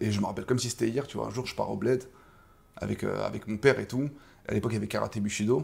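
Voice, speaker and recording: Talking at a very fast pace yet with long, frequent pauses, a man with a fairly low pitch sounds animated, with vocal fry. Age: 30s. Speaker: kickboxing coach and former fighter. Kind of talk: casual interview. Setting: boxing gym.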